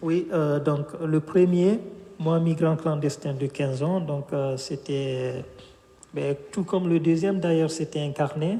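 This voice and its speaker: A man with a West African accent speaks at a very slow pace and a fairly high pitch. His intonation is fairly even, and there is noticeable background noise. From Guinea. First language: Fula (speaking French). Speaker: author. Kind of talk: interview. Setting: bookshop event streamed live. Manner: hesitant, many fillers.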